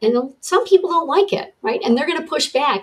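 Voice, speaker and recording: A woman's voice moves in very wide pitch swings. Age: 60s. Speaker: wellness coach and author. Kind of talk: interview.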